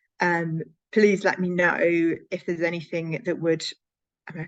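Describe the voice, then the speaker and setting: A woman's fairly low, monotone voice at a fairly quick pace. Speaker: conference speaker on workplace inclusion. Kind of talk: Q&A session answers. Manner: fast; halting, many fillers.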